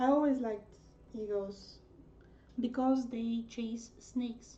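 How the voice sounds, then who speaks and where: A woman with a Bulgarian accent, fairly high pitch, dark, mellow tone, and monotone, flat intonation at a very slow pace. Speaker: artist livestreamer. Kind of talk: casual livestream chat while drawing. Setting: livestream. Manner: hesitant, filler-heavy.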